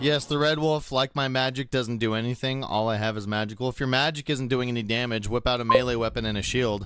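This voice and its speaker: A man at a very fast pace with hardly any pauses, over background music. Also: medium pitch for a man. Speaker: gaming streamer. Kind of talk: live gameplay commentary. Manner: stuttering a little; animated.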